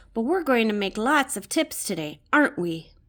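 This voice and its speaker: A woman puts on a character voice, upbeat and warm, pitched fairly high. She speaks at a moderate pace with very wide pitch swings. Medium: read story. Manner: upbeat, warm.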